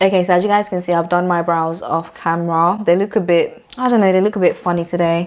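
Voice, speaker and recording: Monotone, flat intonation from a woman at a fairly low pitch and fairly quick pace, with noticeable background noise. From Nigeria. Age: 20s. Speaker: beauty vlogger. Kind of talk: casual chat. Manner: fast.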